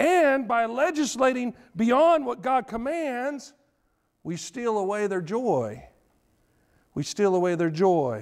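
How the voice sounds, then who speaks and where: Over a quiet background, a man talks at a very slow pace with long, frequent pauses. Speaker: preacher. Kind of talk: sermon. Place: church.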